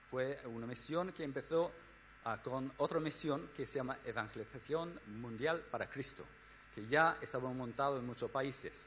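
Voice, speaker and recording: A man with a Spanish accent talks at a moderate pace. His pitch is fairly high, with ordinary variation. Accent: Spain-accented Spanish. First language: English (speaking Spanish). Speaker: missionary organization director. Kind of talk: church talk. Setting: church. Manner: halting.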